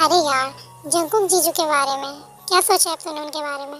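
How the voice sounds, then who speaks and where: A woman puts on a character voice pitched high. She talks at a fairly quick pace with big swings in loudness. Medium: audio drama. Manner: chatty, familiar.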